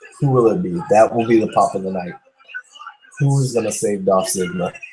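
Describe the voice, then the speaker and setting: Over music in the background, a man at medium pitch speaks at a moderate pace, with very wide swings in pitch. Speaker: wrestling show host. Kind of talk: live commentary. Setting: video call.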